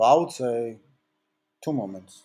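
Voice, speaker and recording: This man speaks with a Georgian accent at a moderate pace, his tone dark and mellow. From Georgia (country). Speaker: talent manager and music producer. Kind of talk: interview.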